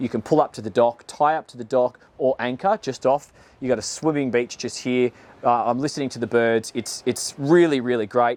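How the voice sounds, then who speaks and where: Man with an Australian accent, big swings in loudness, ordinary pitch variation, dry, close sound with no echo. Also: medium pitch for a man, moderate pace. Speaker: boat reviewer, former boat salesman. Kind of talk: video walkthrough presentation. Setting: outdoors on a boat. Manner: casual, conversational with fillers.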